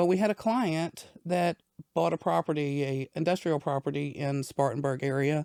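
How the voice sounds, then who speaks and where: A woman's very deep, low voice, dark and mellow in tone, at a moderate pace with ordinary pitch variation, dry and close with no echo on a very clean recording with a silent background. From Southern Virginia (Danville). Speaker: business owner. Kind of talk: interview. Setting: studio.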